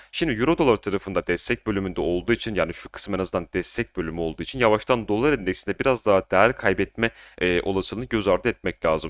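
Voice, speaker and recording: A very fast delivery with hardly any pauses. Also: man, fairly low pitch for a man, ordinary pitch variation, dry, close sound with no echo. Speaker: crypto and markets analysis youtuber. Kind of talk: market analysis monologue. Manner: casual, conversational.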